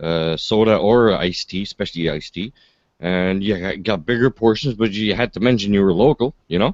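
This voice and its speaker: A man with a Quebec accent and a fairly low pitch talks at a fairly quick pace with ordinary pitch variation. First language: French. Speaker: livestream host. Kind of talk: casual chat.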